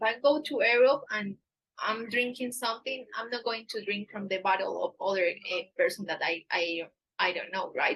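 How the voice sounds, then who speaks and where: A woman with an Antioquian accent speaks at a moderate pace in a fairly high voice with lively intonation. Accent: Spanish accent in English, Paisa. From Colombia, Medellin area. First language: Spanish. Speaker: dating agency staff, livestream host. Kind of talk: live stream Q&A. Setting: livestream on camera. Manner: hesitant, with filler words.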